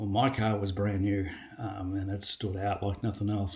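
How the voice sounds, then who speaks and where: With an Australian accent and fairly low pitch, a man speaks at a moderate pace against noticeable background noise. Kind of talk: testimony. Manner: casual, with many fillers (um, uh).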